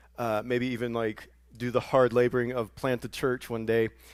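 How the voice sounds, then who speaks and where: A man speaks with a Southern US accent. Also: very clean recording, silent background. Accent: Southern US, noticeable today. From US South. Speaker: pastor. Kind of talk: sermon. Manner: halting, many fillers and repeats.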